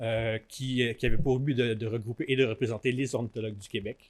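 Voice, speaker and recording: A man speaks with a Quebec accent at a fairly quick pace. His pitch variation is ordinary. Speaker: conservation organization director, biologist. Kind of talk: conference talk. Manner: halting, frequent fillers and repetitions.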